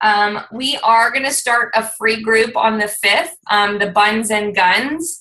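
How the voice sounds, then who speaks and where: A woman's loud, fairly high voice, bright and sharp in tone, at a very slow pace. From Lebanese heritage. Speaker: fitness team coach. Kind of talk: team conference call. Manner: talkative, excited.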